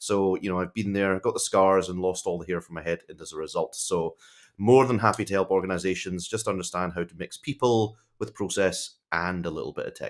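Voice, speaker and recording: A man with a Scottish accent speaks at a very deep, low pitch with fairly even intonation and hardly any pauses. His loudness swings widely, on a very clean recording with a silent background. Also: fairly quick pace. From Scotland. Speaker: tech executive advisor. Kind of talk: podcast interview. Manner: casual, conversational.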